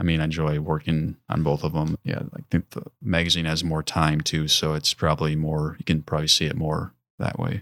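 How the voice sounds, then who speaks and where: Someone with an American accent speaks with hardly any pauses, in a dry, close sound with no echo on a very clean recording with a silent background. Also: man, very deep, low pitch for a man, fairly even intonation. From southeastern Wisconsin (Mequon, near Milwaukee). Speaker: graphic designer and artist. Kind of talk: casual interview. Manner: halting, many fillers.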